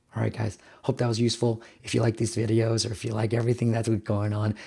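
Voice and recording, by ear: At a fast pace, a man talks with a fairly low pitch, a dark, mellow tone, a raspy voice with a slightly husky edge, and vocal fry.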